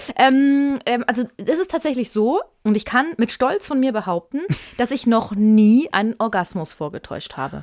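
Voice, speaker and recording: A woman's high voice with very wide pitch swings. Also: moderate pace. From Germany, Würzburg (Lower Franconia). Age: 30s. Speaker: podcast co-host. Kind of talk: casual chat.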